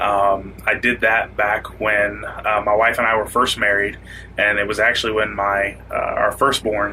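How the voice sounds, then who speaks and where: Over noticeable background noise, a man with an American accent speaks at a fairly low pitch. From Florida Panhandle, US South. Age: 20s. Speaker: musician, former deputy sheriff. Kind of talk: interview testimony.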